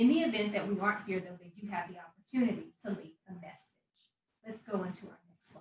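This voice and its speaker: A very fast female voice at medium pitch, with big swings in loudness. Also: ordinary pitch variation. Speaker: local government anti-litter program staff. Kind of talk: conference panel presentation. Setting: virtual conference.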